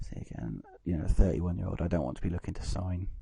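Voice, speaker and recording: A man with a dark, mellow tone and vocal fry talks at a fairly quick pace with ordinary pitch variation. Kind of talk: casual gameplay commentary. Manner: hesitant, filler-heavy.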